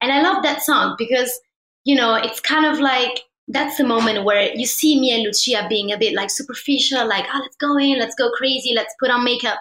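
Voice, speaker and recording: A woman talks at a high pitch with ordinary pitch variation, in an Italian accent. Her pace is fairly quick. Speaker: actress and folk singer. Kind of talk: interview.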